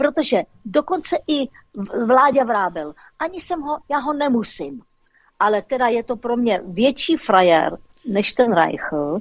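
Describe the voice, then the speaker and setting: A high-pitched woman's voice at a very slow pace, with very wide swings in pitch. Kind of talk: casual chat. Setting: phone call. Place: studio.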